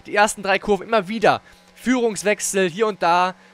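With music playing behind him, a man talks at a fairly quick pace and a high pitch, showing ordinary pitch variation. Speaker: gaming YouTuber and race commentator. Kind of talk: live-style esports race commentary over replay footage. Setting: studio/home recording, voiceover on game footage.

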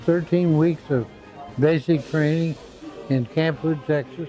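Recorded dry with no echo, a man speaks at a fairly slow pace over faint music in the background. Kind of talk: interview answer. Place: home room. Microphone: lapel.

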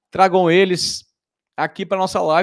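This man's voice sits at a fairly high pitch. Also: quiet background. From Brazil. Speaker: live show host; live stream host. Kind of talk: live stream chat. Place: home room. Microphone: studio mic.

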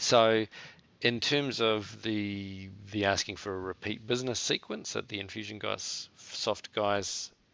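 Bright and sharp in tone, a man with a New Zealand accent speaks at a fairly low pitch with fairly even intonation. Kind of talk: interview. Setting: remote call. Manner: halting.

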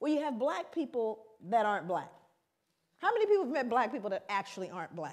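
Over a quiet background, a woman with an American accent talks very fast at a fairly high pitch, swinging her pitch very widely and taking long, frequent pauses. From South Central Los Angeles, US; Los Angeles, California. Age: 50s. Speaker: researcher and lecturer; lecturer. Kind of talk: lecture. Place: hall.

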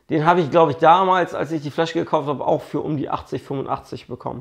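A man's fairly high-pitched voice with vocal fry, at a moderate pace over a quiet background. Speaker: whisky blogger. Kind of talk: casual video review, whisky tasting. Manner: casual, chatty.

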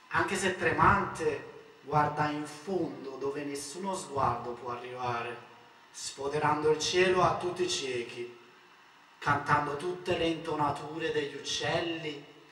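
Music plays in the background as a man speaks. His voice is fairly high, with ordinary pitch variation. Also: fairly slow pace. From Naples, Italy. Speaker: poet. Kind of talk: poetry reading.

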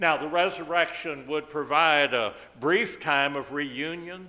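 With a bright, sharp tone, a man speaks at a very slow pace and keeps his intonation fairly even. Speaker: pastor. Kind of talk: sermon. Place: church. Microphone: podium.

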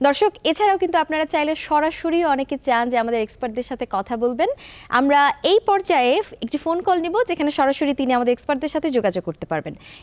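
A woman's high-pitched voice with lively intonation, dry and close with no echo. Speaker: TV presenter. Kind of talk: TV show hosting. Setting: studio. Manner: formal.

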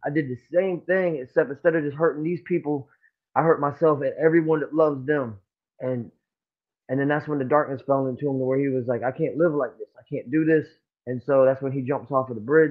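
A man talks rather briskly in mostly level intonation, the background quiet behind him. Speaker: interview guest. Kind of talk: interview answer. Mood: serious, somber storytelling. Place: home room. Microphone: phone near.

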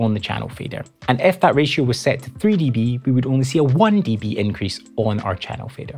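A man at a fairly quick pace, with faint music in the background. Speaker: audio engineer educator. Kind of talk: tutorial. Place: studio. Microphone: lapel.

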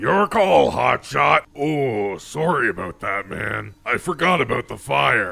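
Doing a cartoonish character voice at medium pitch, a man moves at a fairly slow pace with hardly any pauses and very wide pitch swings. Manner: blunt, casual.

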